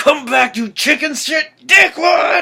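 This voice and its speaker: Shouting and bellowing in a put-on character voice, a man speaks at an extremely high pitch and a fairly slow pace. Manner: bellowing, shouting angrily.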